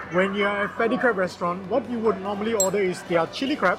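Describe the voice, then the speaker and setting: Clear music plays behind a voice that moves at a fairly quick pace with ordinary pitch variation. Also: man. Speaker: food reviewer. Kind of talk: food review commentary. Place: hall. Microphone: phone near.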